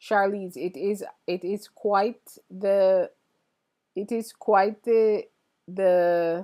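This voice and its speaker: A woman with an American accent talks at a very slow pace. Her pauses are long and frequent. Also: medium pitch for a woman. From Jamaica. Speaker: printmaking artist and livestreamer. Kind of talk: casual livestream chat reading viewer comments. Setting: live stream. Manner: animated.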